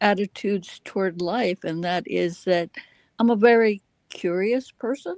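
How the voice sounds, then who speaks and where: A speaker with an American accent uses ordinary pitch variation, recorded with a dry, close sound and no echo. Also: woman. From US South, Alabama. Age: 80s+. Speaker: retired chiropractor and teacher. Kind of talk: casual interview chat.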